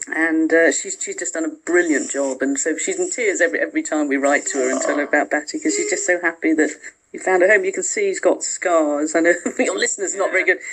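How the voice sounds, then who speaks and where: There is noticeable background noise behind the speaker. A woman talks at a very fast pace. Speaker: charity patron and former tennis player. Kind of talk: radio interview answer, chatty.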